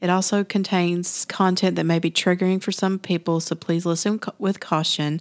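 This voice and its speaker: In a very clean recording with a silent background, a woman talks at a moderate pace and medium pitch with fairly even intonation, in a plain, everyday voice. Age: 40s. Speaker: podcast host. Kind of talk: casual chat; scripted disclaimer reading.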